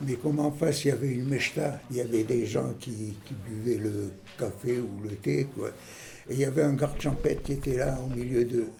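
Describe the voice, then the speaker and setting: With audible room echo, a man talks at a moderate pace in a medium pitch with ordinary pitch variation. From Algeria. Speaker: senior interviewee. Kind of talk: personal anecdote.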